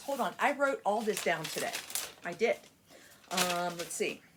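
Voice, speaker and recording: Her pitch fairly high and swinging very widely, a woman speaks at a moderate pace over noticeable background noise. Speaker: cross stitch youtuber. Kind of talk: casual vlog chat. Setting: home desk area.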